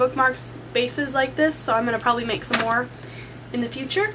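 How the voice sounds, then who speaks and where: Noticeable background noise is present throughout. Over it, a woman talks. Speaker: embroidery crafter. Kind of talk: casual talk to camera. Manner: fast.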